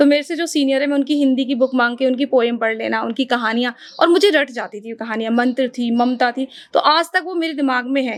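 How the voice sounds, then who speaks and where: Her pitch high and its variation ordinary, a woman speaks at a moderate pace. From Uttarakhand, India. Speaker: radio anchor and voice artist. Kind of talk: podcast interview answer.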